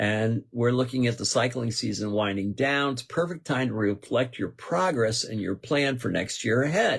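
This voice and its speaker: Noticeable background noise runs through the clip. The delivery is moderately paced, with ordinary pitch variation. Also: man, medium pitch for a man, hardly any pauses. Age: 70s. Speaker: radio host. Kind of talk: casual radio talk show monologue. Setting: radio studio. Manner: conversational, with fillers and restarts.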